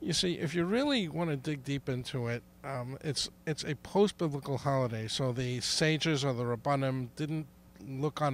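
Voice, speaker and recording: With an American accent, a man speaks at a fairly high pitch with ordinary pitch variation. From New York, Brooklyn. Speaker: interviewee explaining Hanukkah. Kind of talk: interview. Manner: halting, many restarts.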